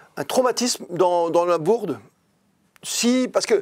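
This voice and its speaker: Here a man speaks in a high voice. His intonation is lively. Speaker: sports journalist. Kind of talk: interview answer. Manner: upbeat, lively.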